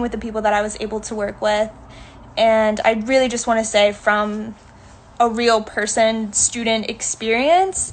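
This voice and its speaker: A woman talks at a moderate pace in a fairly high pitch, her intonation monotone and flat. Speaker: dance student presenting a program. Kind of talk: online info session presentation.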